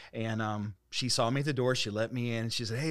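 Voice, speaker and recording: A man with an American accent talks at a fairly quick pace in an ordinary speaking voice, on a very clean recording with a silent background. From US Midwest (Dayton, Ohio). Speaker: pastor. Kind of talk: casual interview.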